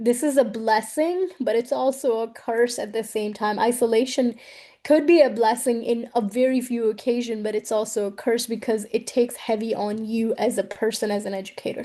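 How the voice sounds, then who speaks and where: A woman with a non-native accent and a dark, mellow tone, at a moderate pace with hardly any pauses and fairly even intonation. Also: fairly high pitch for a woman. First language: not English. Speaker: educator and researcher. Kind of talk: interview.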